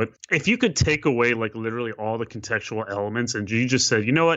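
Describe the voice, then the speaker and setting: A man with an unremarkable speaking voice talks at a fairly quick pace and a fairly low pitch, with ordinary pitch variation. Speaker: basketball writer. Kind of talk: casual sports chat.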